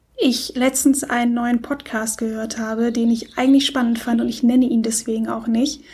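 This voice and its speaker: A woman speaks with a high pitch. Her intonation stays fairly even. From Germany, Stuttgart. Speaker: podcast co-host, blogger. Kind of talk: casual chat.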